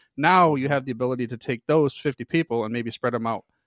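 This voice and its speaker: With a Midwestern American accent, a man at medium pitch speaks at a very fast pace with ordinary pitch variation, the sound dry and close with no echo over a quiet background. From US Midwest. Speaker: podcast network founder. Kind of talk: casual interview.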